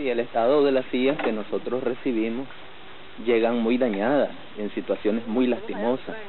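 A man speaks at a medium pitch with fairly even intonation. Noticeable background noise runs under his voice. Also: moderate pace. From Nicaragua (Managua). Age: 30s. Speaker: wheelchair mechanic, double amputee. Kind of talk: documentary interview.

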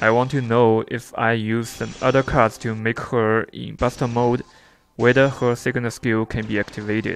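Speaking with a non-native accent, a man keeps a moderate pace at a medium pitch. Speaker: mobile game reviewer. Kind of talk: game event review narration.

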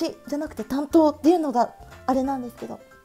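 A woman's excited, very fast speech over music in the background. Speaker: stationery YouTuber. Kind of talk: casual talk to camera. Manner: fast, higher-pitched, excited.

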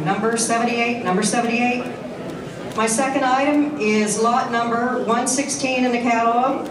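Amid noticeable background noise and audible room echo, a woman with a high pitch speaks at a moderate pace with fairly even intonation. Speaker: auctioneer. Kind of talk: item presentation to auction audience. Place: hall.

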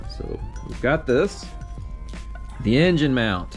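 A man is talking while music plays faintly behind him. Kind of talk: casual vlog chat. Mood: relaxed, lightly amused. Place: workshop. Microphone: phone near.

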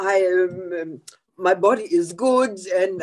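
A woman's voice is heard with a quiet background behind it. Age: 70s. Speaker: network marketing leader; presenter. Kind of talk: casual chat. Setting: video call. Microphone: video call.

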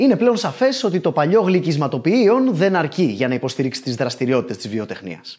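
Against a quiet background, a man with a fairly high-pitched voice swings very widely in pitch. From Greece. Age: 40s. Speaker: comedian and YouTube host; comedian, YouTube host. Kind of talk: scripted narration. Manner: animated. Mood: lively, humorous. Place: studio. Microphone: lapel.

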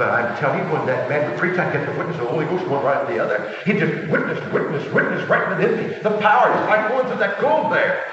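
A man speaks in a space with strong room echo. Noticeable background noise is present too. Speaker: preacher. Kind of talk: sermon. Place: church. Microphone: old recording.

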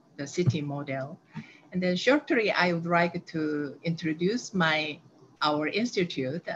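A woman with a Korean accent speaks at a fairly slow pace in a fairly low pitch. Light background noise can be heard. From South Korea. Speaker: aging researcher. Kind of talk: webinar presentation. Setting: video call. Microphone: video call.

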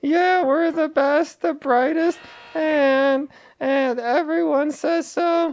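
A man puts on a character voice at an extremely high pitch. He talks at a very slow pace. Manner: boastful, sly.

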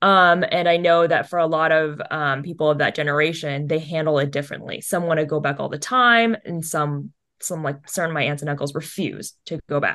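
Speaking in a Californian accent, a woman has a very deep, low pitch and a bright, sharp tone. Her fairly quick pace has ordinary pitch variation and hardly any pauses over a quiet background. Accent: Californian American English. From US West Coast, Los Angeles County. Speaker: animation producer; interview guest. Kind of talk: casual interview chat. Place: home room. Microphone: video call.

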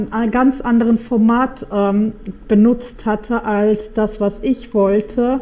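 A woman speaks very slowly in a flat monotone, with noticeable background noise. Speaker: gaming YouTuber. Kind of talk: let's play commentary. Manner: halting, many fillers.

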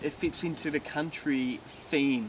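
A man talks with ordinary pitch variation in a dry sound with no echo. Noticeable background noise is present. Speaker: TV presenter. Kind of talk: presenter piece to camera. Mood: warm, admiring. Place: garden. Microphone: lapel.

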